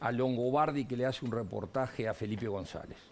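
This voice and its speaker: Using a Uruguayan accent, a man speaks at a moderate pace and a medium pitch. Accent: Uruguayan Rioplatense Spanish. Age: 60s. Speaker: economist and politician. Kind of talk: TV interview.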